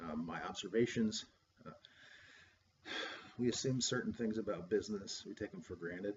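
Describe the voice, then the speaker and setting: A man with a fairly low pitch talks at a fairly quick pace, somewhat breathy. His loudness swings widely, and he pauses long and often. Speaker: graduate student presenting coursework. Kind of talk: recorded class presentation. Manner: fast; hesitant, many fillers.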